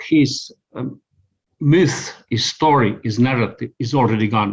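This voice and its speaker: A man's medium-pitched voice with an Estonian accent, ordinary pitch variation, and a very slow pace. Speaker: communications consultant. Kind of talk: interview answer.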